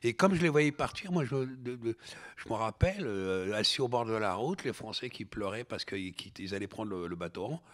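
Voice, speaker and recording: Here a man talks with lively intonation at a moderate pace. The recording is very clean, with a silent background. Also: medium pitch for a man. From Algeria, then France from age ten. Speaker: novelist and filmmaker. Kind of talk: interview conversation. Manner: halting, many hesitations and repetitions.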